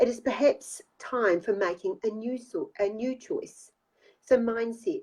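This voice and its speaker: Speaking slowly-ish, a woman with a New Zealand accent and a high pitch makes very wide pitch swings at a fairly slow pace. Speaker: author and life coach. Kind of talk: reading aloud; casual chat.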